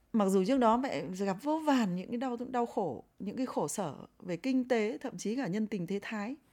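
A woman with a fairly high pitch, a dark, mellow tone and lively intonation, on a very clean recording with a silent background. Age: 50s. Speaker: professor, host's mother. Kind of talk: casual interview, personal storytelling.

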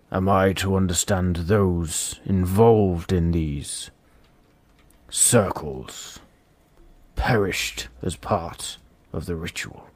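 Using a put-on character voice, a man speaks very slowly at a very deep, low pitch with long, frequent pauses. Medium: actual play. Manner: terse, formal, measured.

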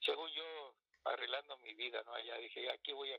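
A man speaks at a moderate pace. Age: 50s. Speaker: retired footballer. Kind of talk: casual interview. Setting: phone call.

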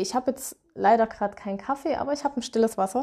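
A woman's dark, mellow voice, fairly high-pitched, at a very fast pace over a quiet background. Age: 20s. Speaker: podcast host and confidence coach. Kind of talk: solo motivational podcast monologue.

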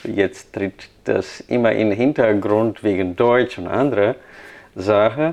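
Lively intonation, a Portuguese accent, and a fairly slow pace. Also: man. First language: Portuguese (speaking German). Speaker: pastor. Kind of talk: casual chat.

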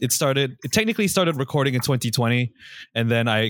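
A man with a Singaporean accent and ordinary pitch variation, dry and close with no echo, on a very clean recording with a silent background. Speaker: game narrator, podcast cast member. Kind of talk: casual chat.

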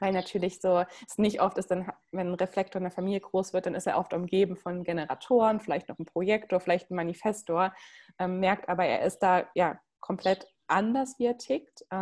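A woman speaks at a fairly quick pace with fairly even intonation. She has an unremarkable speaking voice at medium pitch. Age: 20s. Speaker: human design coach. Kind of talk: casual interview.

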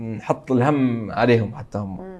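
This man talks very slowly, and his pitch moves in a normal way. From Libya, Benghazi. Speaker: travel content creator. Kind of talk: interview.

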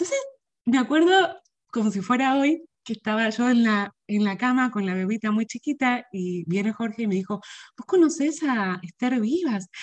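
Her pitch fairly high and her intonation lively, a woman speaks at a moderate pace in an Argentine accent, with a dry, close sound and no echo. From Argentina. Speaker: academic and book publisher. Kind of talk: interview conversation.

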